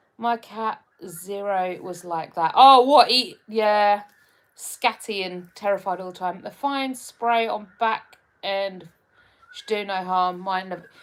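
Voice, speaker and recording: A woman speaks at a fairly slow pace in a Hertfordshire accent. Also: big swings in loudness. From England, Hertfordshire. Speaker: live streamer. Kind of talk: casual chat reading live comments. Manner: hesitant, many fillers.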